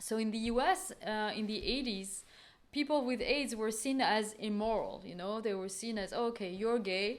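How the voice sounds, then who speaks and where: A woman speaks at a moderate pace with a fairly high pitch and ordinary pitch variation. Audible room echo surrounds her voice. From France. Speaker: art curator and researcher. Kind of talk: lecture. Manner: hesitant, many fillers.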